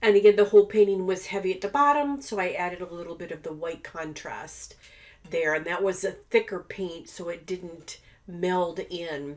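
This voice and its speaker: The speech moves at a moderate pace with ordinary pitch variation and big swings in loudness. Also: woman, medium pitch for a woman. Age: 60s. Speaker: abstract painter teaching art. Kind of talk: tutorial with narration over painting footage. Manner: casual, hesitant with many fillers.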